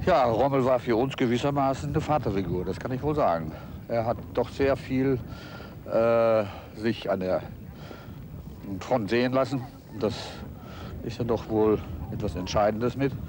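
Speech comes at a moderate pace with ordinary pitch variation and long, frequent pauses. Noticeable background noise sits in a dry sound with no echo. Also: man. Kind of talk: interview answer. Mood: reflective, hesitant recollection. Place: open country.

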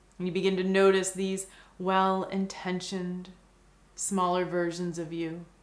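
With audible room echo, a woman speaks at a fairly slow pace in a monotone, flat intonation. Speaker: meditation guide. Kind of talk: guided visualization meditation. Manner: slow, soft-spoken. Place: home room.

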